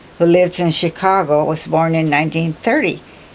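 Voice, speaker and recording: Noticeable background noise beneath a woman's fairly low voice with ordinary pitch variation. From Hawaii (Kauai). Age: 80s+. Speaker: retired teacher, oral history interviewee. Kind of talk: oral history interview. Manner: halting.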